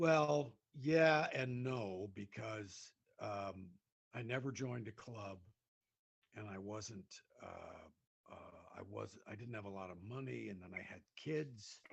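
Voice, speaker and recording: A man's somewhat breathy, medium-pitched voice at a very slow pace, with ordinary pitch variation and big swings in loudness. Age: 60s. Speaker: comedian. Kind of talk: casual chat. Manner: halting.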